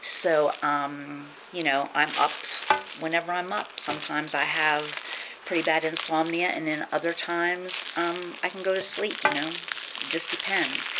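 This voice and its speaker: Loud background noise fills the recording. A woman speaks through it at a moderate pace. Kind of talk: casual vlog chat. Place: home room. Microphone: camera far.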